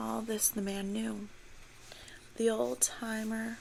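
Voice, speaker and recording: A woman is whispering. She is soft-spoken. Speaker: ASMR creator playing a teacher. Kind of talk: story reading for relaxation. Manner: slow, soft whispered reading.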